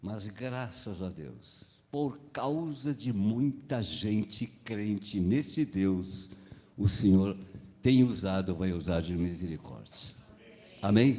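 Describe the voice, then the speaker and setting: A man's dark, mellow voice, fairly low in pitch, at a very slow pace with lively intonation and audible room echo. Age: 80s+. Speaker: pastor. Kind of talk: sermon.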